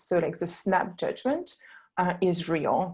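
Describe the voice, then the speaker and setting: The voice carries a French accent. It sounds somewhat breathy. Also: woman. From France, Burgundy. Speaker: founder of a wine label design company. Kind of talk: webinar presentation. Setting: online webinar. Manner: hesitant, many fillers.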